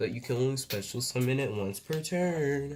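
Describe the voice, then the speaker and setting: Somewhat breathy, a man talks at a medium pitch. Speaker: card game YouTuber. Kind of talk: card unboxing commentary. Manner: casual, filler-heavy; halting, self-described stuttering.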